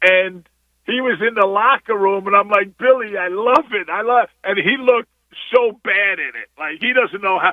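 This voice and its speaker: A man's high-pitched voice with an American accent, a moderate pace and ordinary pitch variation. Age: 60s. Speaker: basketball coach. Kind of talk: radio interview.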